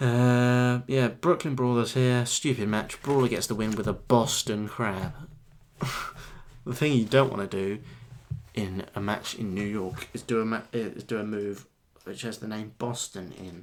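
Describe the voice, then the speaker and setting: With an English accent, the speaker moves at a fairly slow pace and shows ordinary pitch variation. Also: man, medium pitch for a man. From England. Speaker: wrestling reviewer. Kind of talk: casual review monologue. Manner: casual.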